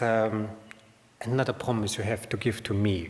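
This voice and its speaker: Audible room echo around a man speaking moderately fast, his pitch varying in an ordinary way. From Austria. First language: German. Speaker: information designer, conference speaker. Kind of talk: conference talk. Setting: stage with audience. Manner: halting, many fillers.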